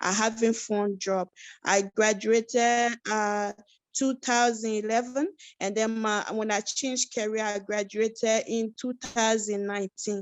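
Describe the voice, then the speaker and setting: This woman has a fairly high pitch and an Ivorian accent, speaking fairly slowly in a monotone, flat intonation. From West Africa (Côte d'Ivoire, Ghana, Sierra Leone camps). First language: Yakuba. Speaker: refugee, support worker. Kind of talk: webinar interview.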